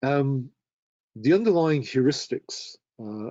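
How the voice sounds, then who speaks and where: A man with a British accent and ordinary pitch variation. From UK. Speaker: terminology standards presenter. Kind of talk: webinar presentation.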